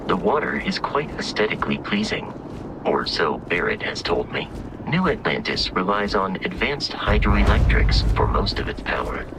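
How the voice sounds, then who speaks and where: Loud background noise surrounds a man using a put-on character voice. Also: moderate pace. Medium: machinima. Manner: measured, formal.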